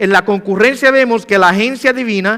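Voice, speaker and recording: A man's raised, projected voice, high-pitched with a bright, sharp tone and ordinary pitch variation. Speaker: pastor. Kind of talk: sermon. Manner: fast.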